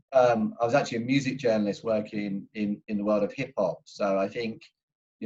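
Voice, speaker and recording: With an English accent, a man talks at medium pitch with fairly even intonation. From England. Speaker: football club executive. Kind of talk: panel discussion introduction.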